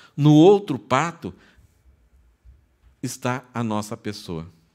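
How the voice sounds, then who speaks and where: The intonation is lively throughout. The recording is very clean, with a silent background. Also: man. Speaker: pastor. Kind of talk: sermon. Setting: church. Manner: conversational.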